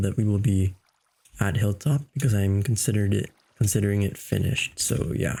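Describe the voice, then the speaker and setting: Somewhat breathy and dark, mellow in tone, a man speaks at a moderate pace with a fairly low pitch and ordinary pitch variation. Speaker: gaming youtuber. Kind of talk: casual gameplay commentary. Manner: casual, with filler words.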